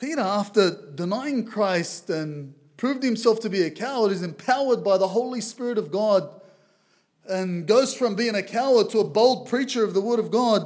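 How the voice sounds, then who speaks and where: Audible room echo surrounds a man's voice. He speaks at a high pitch with ordinary pitch variation. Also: moderate pace. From Lebanese background. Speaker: visiting preacher. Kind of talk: sermon.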